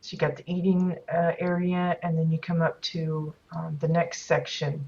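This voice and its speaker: This woman's voice sits at a fairly low pitch and is somewhat breathy. She speaks at a fairly slow pace. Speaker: game streamer giving house tours. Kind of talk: live gameplay commentary. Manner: hesitant, many fillers.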